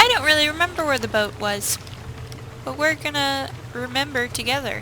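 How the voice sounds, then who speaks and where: A woman's high-pitched, raised, projected voice at a fairly quick pace over noticeable background noise. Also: ordinary pitch variation. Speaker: gaming video creator. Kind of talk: let's play commentary.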